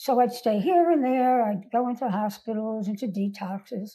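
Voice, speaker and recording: On a very clean recording with a silent background, a woman with an American accent speaks at a moderate pace, somewhat breathy, in a dark, mellow tone. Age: 80s+. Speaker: recovered alcoholic sharing life story. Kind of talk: interview testimony.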